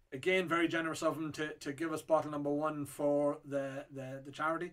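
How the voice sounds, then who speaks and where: In an Irish accent, a man talks at a fairly quick pace with monotone, flat intonation. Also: quiet background. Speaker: whiskey auctioneer. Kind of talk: casual talk to camera. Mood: enthusiastic, friendly. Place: shop.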